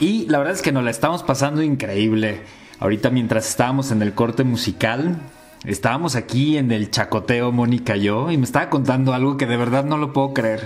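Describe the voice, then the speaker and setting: Speaking at a fairly quick pace, a man uses a medium pitch with lively intonation. Noticeable background noise runs underneath. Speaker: radio host and friar. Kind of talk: radio talk show interview.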